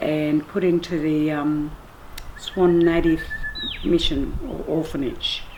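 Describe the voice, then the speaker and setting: A woman speaks at a very slow pace. Noticeable background noise fills the clip. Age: 60s. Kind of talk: oral family history testimony.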